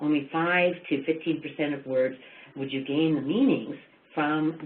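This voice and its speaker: Noticeable background noise sits behind the speaker. She is a woman talking at a moderate pace. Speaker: education presenter. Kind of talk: webinar lecture. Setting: webinar.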